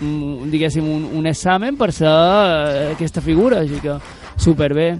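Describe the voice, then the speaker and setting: Noticeable background noise accompanies a man speaking with a Mallorcan accent. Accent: Mallorcan Catalan. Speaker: radio workshop host. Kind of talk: youth radio interview. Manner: halting; animated.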